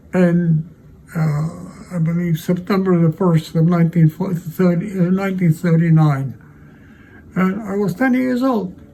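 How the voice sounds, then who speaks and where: There is noticeable background noise. A man speaks at a fairly slow pace with a high pitch and ordinary pitch variation. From Poland, Warsaw. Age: 90s. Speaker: Holocaust survivor. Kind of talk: interview testimony. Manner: halting.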